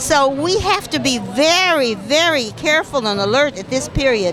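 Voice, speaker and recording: A woman's high voice with an American accent and very wide pitch swings, over music in the background and audible room echo. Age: 80s+. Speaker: protester. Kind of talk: street interview.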